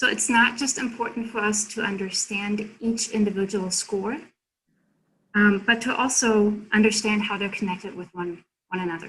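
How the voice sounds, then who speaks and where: A woman with a German accent speaks at a medium pitch in a bright, sharp tone, with ordinary pitch variation. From Germany. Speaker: consultant presenter. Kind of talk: workshop presentation.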